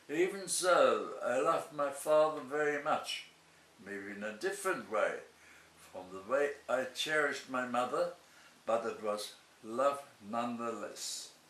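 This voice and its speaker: A man's fairly high, lively voice broken by long, frequent pauses, with noticeable background noise and audible room echo. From Germany (Berlin). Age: 90s. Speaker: Holocaust survivor. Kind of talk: testimony.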